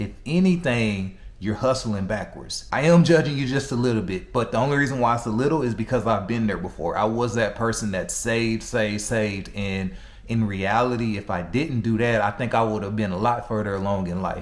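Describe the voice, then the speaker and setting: Speaking at a fairly quick pace with hardly any pauses, a man keeps a medium pitch and ordinary pitch variation over noticeable background noise. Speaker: personal finance commentator. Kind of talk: casual talk to camera. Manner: energetic, blunt, humorous.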